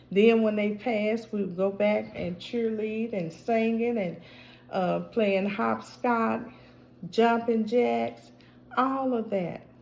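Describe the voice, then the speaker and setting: A woman speaks very slowly at a fairly high pitch with fairly even intonation, and audible room echo surrounds her voice. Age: 60s. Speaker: vlogger. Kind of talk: casual chat.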